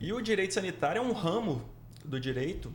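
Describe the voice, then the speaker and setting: A man speaks at a moderate pace with ordinary pitch variation. Audible room echo surrounds his voice. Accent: Minas Gerais. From Minas Gerais, Brazil. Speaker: public prosecutor. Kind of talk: podcast interview. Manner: halting, many fillers.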